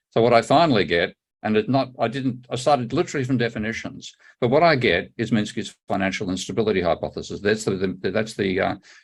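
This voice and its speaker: A man with a fairly low pitch talks at a very fast pace. His pitch variation is ordinary. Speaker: economist. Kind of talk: conference presentation.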